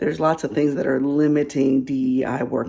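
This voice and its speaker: A soft-spoken woman has a very deep, low pitch and a dark, mellow tone. Vocal fry runs through her voice. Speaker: DEI consultant. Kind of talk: casual advice vlog.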